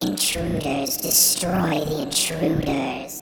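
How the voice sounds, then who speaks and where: The put-on character voice is raspy and low-to-middle in pitch, delivered at a very slow pace. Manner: menacing.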